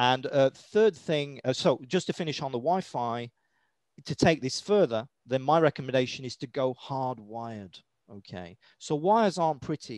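A man with a British accent speaks at a fairly high pitch against a quiet background. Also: dry sound with no echo. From Britain. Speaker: EMF health educator. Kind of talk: interview. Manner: casual, with many fillers. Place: home room. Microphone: headset.

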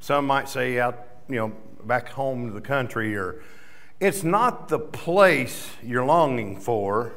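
The intonation is lively. A man delivers it at a very slow pace. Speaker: preacher or worship leader. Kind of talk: sermon. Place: church. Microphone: studio mic.

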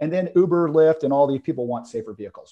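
With ordinary pitch variation, the man rattles along at a very fast pace. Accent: American. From US South, Atlanta, Georgia. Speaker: insurance company founder; guest. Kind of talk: interview. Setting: video call. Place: home room. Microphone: earbuds.

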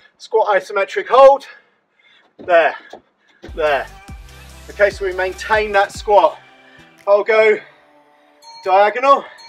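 Over faint background music, a man with a high voice speaks very slowly, with long, frequent pauses and ordinary pitch variation. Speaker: fitness instructor. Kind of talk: workout instruction. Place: garden. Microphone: camera far.

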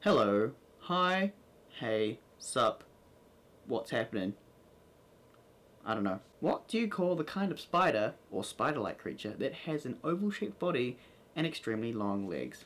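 An American accent marks this man's fairly slow delivery, broken by long, frequent pauses. His pitch swings very widely. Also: fairly high pitch for a man. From New Zealand. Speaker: vlogger. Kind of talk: casual talk to camera. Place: home room. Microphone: camera far.

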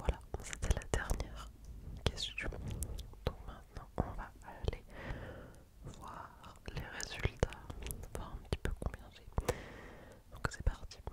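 Whispering softly at a very slow pace, a woman speaks with long, frequent pauses. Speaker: ASMR creator. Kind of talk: soft-spoken ASMR quiz reading. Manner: close soft whisper into microphone. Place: home room. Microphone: studio mic.

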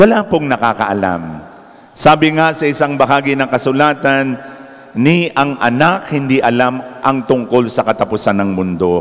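With lively intonation, a man delivers his words at a moderate pace. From Philippines. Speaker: preacher. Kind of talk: sermon, Tagalog-English mix, urgent homily on end times and spiritual battle. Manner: earnest, solemn, exhorting. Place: church. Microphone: handheld.

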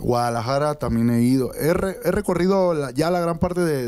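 A man's tone is dark and mellow, with ordinary pitch variation. He moves at a fairly quick pace. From Mexico. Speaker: reggaeton singer; guest. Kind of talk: casual interview. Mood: relaxed, friendly. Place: studio. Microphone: handheld.

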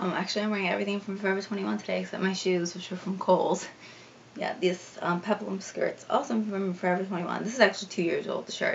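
A woman with an American accent talks very fast at a medium pitch, her intonation fairly even, over noticeable background noise. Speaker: fashion vlogger. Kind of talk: casual chat. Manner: casual, hesitant with fillers.

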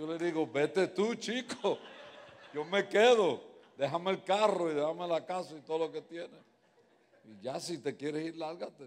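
A man's high-pitched voice at a moderate pace with big swings in loudness. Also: ordinary pitch variation. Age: 70s. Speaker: guest pastor; pastor. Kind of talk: sermon. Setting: church. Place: church. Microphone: handheld.

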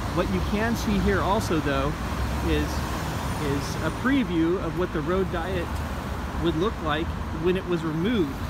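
Someone speaks at a fairly slow pace against loud background noise. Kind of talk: casual vlog commentary. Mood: calm, mildly argumentative. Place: street. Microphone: phone near.

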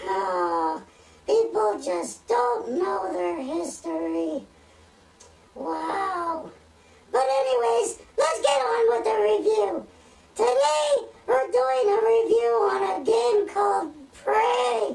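A put-on character voice speaks at a very slow pace with a fairly high pitch. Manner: excitable, easily amazed.

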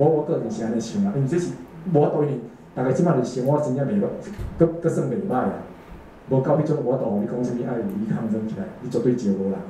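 Speaking at a fairly quick pace with very wide pitch swings, a man is heard with audible room echo and light background noise. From Taiwan. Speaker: amateur political cartoonist; speaker. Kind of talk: panel talk answering audience questions. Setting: talk at a small exhibition opening with audience. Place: meeting room.

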